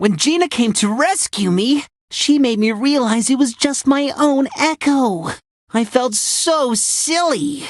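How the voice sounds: In a cartoonish character voice, a woman speaks slowly at a high pitch. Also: lively intonation.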